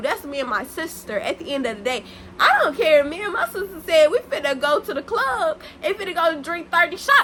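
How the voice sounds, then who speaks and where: A raised, projected voice swings very widely in pitch at a fairly quick pace. Background noise is noticeable. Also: woman. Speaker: YouTuber. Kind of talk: storytime vlog. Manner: loud; animated.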